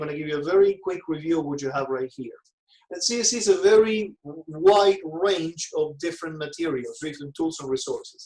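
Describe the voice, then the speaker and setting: This man's voice is high-pitched, delivered at a fairly quick pace with ordinary pitch variation. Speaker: real estate trainer. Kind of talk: online training presentation.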